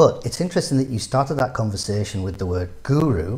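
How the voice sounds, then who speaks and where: In a northeastern English accent, a man speaks at medium pitch with a dark, mellow tone that is somewhat breathy. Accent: northeastern English twang. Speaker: business advisor. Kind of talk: interview.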